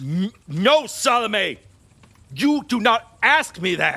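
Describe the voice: A man's slow, put-on character voice, high-pitched, bright and sharp, with big pitch swings.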